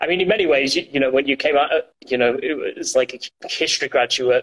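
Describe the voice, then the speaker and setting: A man speaks at a very fast pace with a Yorkshire accent. His intonation stays fairly even. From Yorkshire, northern England. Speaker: former intelligence analyst, alumnus. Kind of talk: interview. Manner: hesitant, many fillers.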